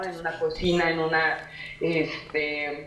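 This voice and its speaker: A woman's flat, monotone voice with noticeable background noise and audible room echo. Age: 20s. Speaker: restaurant worker and activist. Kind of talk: panel discussion. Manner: halting, many fillers.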